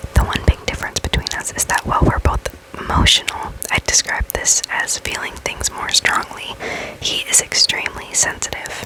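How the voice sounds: Someone is whispering. The pace is moderate.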